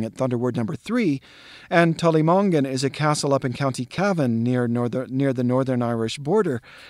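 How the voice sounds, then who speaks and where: A man with an American accent talks at a medium pitch and a fairly quick pace, in an unremarkable speaking voice with ordinary pitch variation. The sound is dry and close with no echo, and the recording is very clean with a silent background. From US Southwest. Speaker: actor and literature educator. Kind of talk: tutorial.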